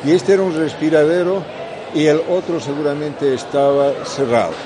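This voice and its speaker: At a fairly slow pace, a man speaks with audible room echo and noticeable background noise. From Bolivia. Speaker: contactee. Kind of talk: testimony.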